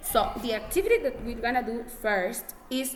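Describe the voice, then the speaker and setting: Someone with a non-native accent speaks at a fairly slow pace amid audible room echo. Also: woman. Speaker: English teacher. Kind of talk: classroom lesson. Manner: halting.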